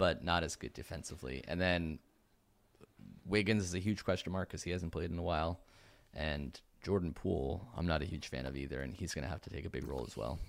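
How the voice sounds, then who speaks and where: Vocal fry runs through this very fast delivery. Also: man, very deep, low pitch for a man, ordinary pitch variation. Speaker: podcast host. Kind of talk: casual chat about basketball. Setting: video call.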